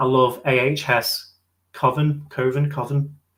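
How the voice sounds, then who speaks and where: A man with a northern English accent. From northern England. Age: late 20s. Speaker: YouTuber. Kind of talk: live stream Q&A. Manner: fast.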